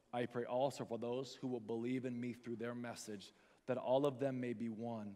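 A man's dark, mellow tone comes through as he talks at a moderate pace. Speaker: pastor. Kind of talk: sermon; fervent prayer, eyes-closed invitation to recommit. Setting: church with congregation. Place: stage. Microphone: headset.

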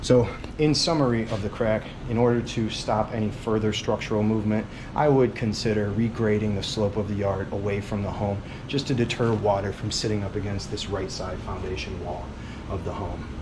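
A man with a fairly low pitch speaks at a fairly quick pace with fairly even intonation. Noticeable background noise runs underneath. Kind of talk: walkthrough explanation to a client. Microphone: phone near.

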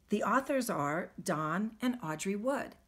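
A woman's voice sounds somewhat breathy. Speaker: teacher reading to pupils. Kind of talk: read-aloud story time for children. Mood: warm, friendly. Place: home room. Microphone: phone near.

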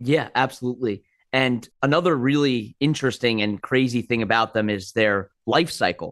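A man with an unremarkable speaking voice at medium pitch, ordinary pitch variation, a moderate pace and very even loudness, dry and close with no echo over a quiet background. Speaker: podcast host. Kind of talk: interview.

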